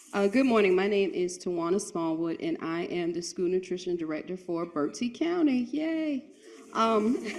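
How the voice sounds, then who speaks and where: A woman of medium pitch talks at a moderate pace, with noticeable background noise around her. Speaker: school nutrition director. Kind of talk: conference speech.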